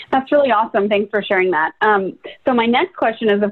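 A woman speaks at a fairly high pitch. Hers is an unremarkable speaking voice. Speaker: podcast host. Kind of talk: casual interview.

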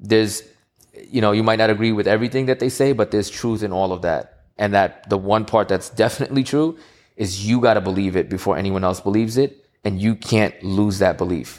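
On a very clean recording with a silent background, a man speaks fairly quickly in a fairly low pitch with ordinary pitch variation. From New York, Queens. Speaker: entrepreneur and audio engineer. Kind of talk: interview chat.

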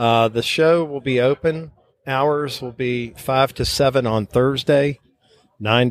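Speaking at a fairly slow pace, a man with a normal speaking voice holds a medium pitch and fairly even intonation. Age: 50s. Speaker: model show organizer and judge. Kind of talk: interview.

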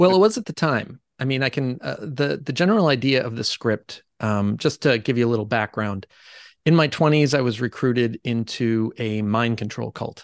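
A man with a normal speaking voice talks at a moderate pace with ordinary pitch variation, in a dry, close sound with no echo and a quiet background. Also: medium pitch for a man. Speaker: screenwriter. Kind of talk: casual chat.

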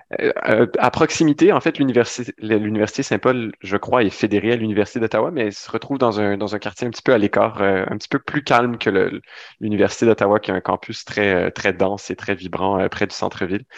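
A man's plain, everyday voice, a plain, everyday voice at a fairly low pitch, with ordinary pitch variation, a fairly quick pace and a quiet background. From Ontario, Sudbury. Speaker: flight attendant and youth ambassador. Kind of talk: interview.

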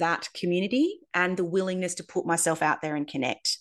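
Speaking at a very fast pace, a woman with an Australian accent sounds enthusiastic. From Australia, Darwin. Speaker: acupuncturist and podcast host. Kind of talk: podcast monologue.

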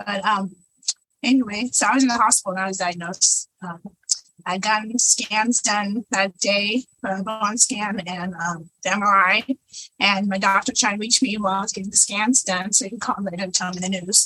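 With an American accent, a woman talks at a moderate pace in a medium pitch, her tone bright and sharp and her intonation fairly even. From California, San Bernardino County. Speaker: breast cancer patient, hearing impaired. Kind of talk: panel discussion. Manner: halting.

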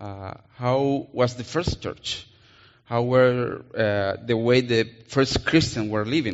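A man speaks with a Colombian accent. His pitch varies in an ordinary way. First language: Spanish. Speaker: missionary preacher. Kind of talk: sermon. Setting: church.

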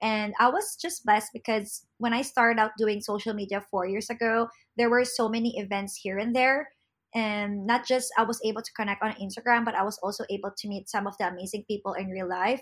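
On a very clean recording with a silent background, a woman speaks with a Filipino accent. Her pitch is fairly high and her pace fairly quick. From Philippines. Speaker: social media content creator. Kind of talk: interview. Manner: animated.

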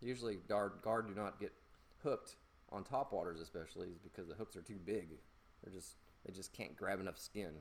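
Playful in tone, the voice moves at a fairly quick pace with ordinary pitch variation. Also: man. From US South. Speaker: fishing podcast host. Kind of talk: casual solo tutorial. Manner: playful, joking.

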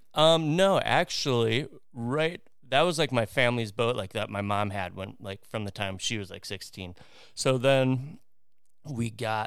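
An unremarkable speaking voice from a man, medium in pitch with ordinary pitch variation, on a very clean recording with a silent background. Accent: American. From US Midwest, Wisconsin. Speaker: former professional wakeboarder. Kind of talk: casual chat.

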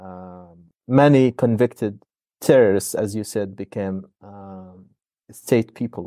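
Speaking very slowly with an Arabic accent, a man with a fairly low pitch and a dark, mellow tone uses ordinary pitch variation and big swings in loudness. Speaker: podcast host, academic. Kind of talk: discussion. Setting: video call. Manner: hesitant, many fillers.

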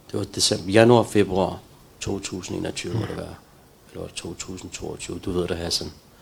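Amid noticeable background noise, a man speaks at a fairly slow pace with a very deep, low pitch, monotone, flat intonation and big swings in loudness. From Denmark, Copenhagen (Valby), Pakistani roots. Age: 40s. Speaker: recovered addict sharing his story. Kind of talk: testimony. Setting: live stream from a center. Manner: halting.

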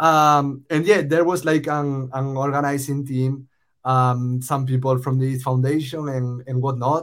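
In a Spanish accent, the speaker delivers monotone, flat intonation at a fairly slow pace on a very clean recording with a silent background. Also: man, fairly high pitch for a man. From Spain. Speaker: startup founder. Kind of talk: casual interview conversation.

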